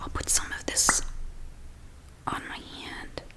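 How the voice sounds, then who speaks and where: A woman whispers very slowly amid noticeable background noise. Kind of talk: soft-spoken ASMR product demo. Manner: soft-spoken, calm.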